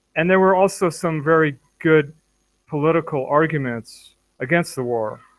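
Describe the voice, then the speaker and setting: A plain, everyday voice with an American accent, ordinary pitch variation and a moderate pace. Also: man, fairly high pitch for a man. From United States. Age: 60s. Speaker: former student activist. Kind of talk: casual discussion.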